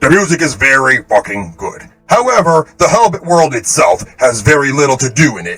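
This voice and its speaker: Put-on character voice from a man over faint music in the background. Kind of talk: casual game feedback. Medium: game stream. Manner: casual, rambling, self-correcting.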